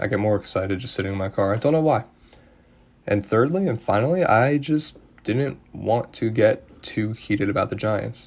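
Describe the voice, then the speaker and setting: Quiet and at a moderate pace, a man talks with fairly low pitch and ordinary pitch variation. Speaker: sports podcaster. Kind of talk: solo sports analysis podcast. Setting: at home. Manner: calmer than usual; quieter to avoid disturbing family.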